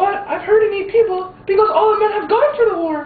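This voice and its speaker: A woman uses a put-on, squeaky character voice at an extremely high pitch with ordinary pitch variation. She talks at a fairly quick pace, with slight echo. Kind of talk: amateur student skit. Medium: stage play.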